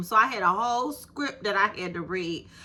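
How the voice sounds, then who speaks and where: A raised, projected, animated voice with a bright, sharp tone, at a moderate pace. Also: woman. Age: 50s. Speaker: YouTube creator. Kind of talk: casual vlog monologue.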